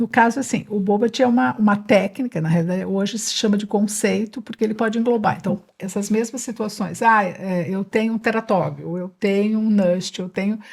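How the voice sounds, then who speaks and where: Somewhat breathy, a woman speaks at a moderate pace and medium pitch with ordinary pitch variation and hardly any pauses. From São Paulo state, Brazil (Jundiaí). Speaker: neuropediatric physiotherapist. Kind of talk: podcast interview.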